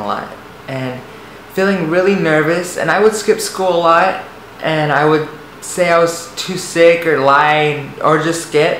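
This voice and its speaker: A man talks at a moderate pace in a high pitch. There is audible room echo and noticeable background noise. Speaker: vlogger. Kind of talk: personal testimony. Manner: halting, repeats words.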